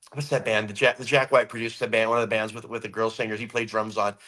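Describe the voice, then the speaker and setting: A loud man with an American accent and a bright, sharp tone. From California. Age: 50s. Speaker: rock musician. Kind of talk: interview.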